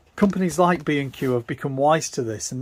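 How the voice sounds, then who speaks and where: This man's English accent is heard on a very clean recording over a silent background. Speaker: DIY van converter, video maker. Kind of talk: tutorial. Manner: casual, hesitant fillers.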